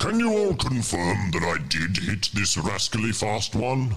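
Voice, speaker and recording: A man performs a put-on character voice at a fairly low pitch. He keeps a moderate pace and very even loudness, with lively intonation. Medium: actual play.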